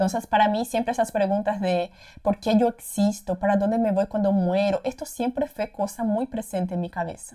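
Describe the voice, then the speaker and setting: A woman's somewhat breathy voice at medium pitch and moderate pace, with ordinary pitch variation. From Paraguay, Brazilian parents. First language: Portuguese (speaking Spanish). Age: 20s. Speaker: content creator. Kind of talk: casual personal testimony. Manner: hesitant, many repetitions.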